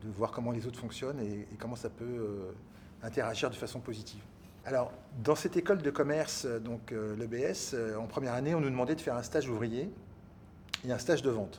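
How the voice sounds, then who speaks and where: A somewhat breathy man at a medium pitch, with ordinary pitch variation and a moderate pace. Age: 60s. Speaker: business executive and entrepreneur. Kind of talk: interview testimony. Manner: hesitant, many fillers.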